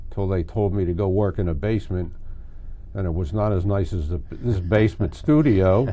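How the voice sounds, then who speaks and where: A man with a Philadelphia accent speaks at a very deep, low pitch with ordinary pitch variation. His tone is dark and mellow, and somewhat breathy. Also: moderate pace. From Philadelphia area, Pennsylvania. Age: 80s+. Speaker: local history interviewee. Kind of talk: oral history interview. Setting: basement studio.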